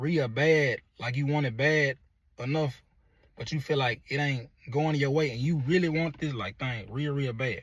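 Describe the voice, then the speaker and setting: This man's voice is fairly high in pitch and somewhat breathy, with ordinary pitch variation. The recording is very clean, with a silent background. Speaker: motivational vlogger. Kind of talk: motivational monologue. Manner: halting.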